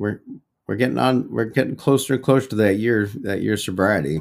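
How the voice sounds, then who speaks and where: The tone is relaxed, with vocal fry and lively intonation. The pace is moderate. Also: man. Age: 30s. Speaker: podcast host in recovery from alcohol. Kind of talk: solo personal check-in. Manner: relaxed, with many fillers.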